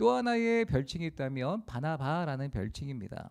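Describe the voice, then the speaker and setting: A man with a Chungcheong accent speaks at a moderate pace in a dark, mellow tone, his pitch swinging very widely, in a very clean recording with a silent background. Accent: Chungcheong dialect Korean. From South Korea, rural Asan, South Chungcheong. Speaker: pastor. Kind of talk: sermon. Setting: church, Friday prayer meeting.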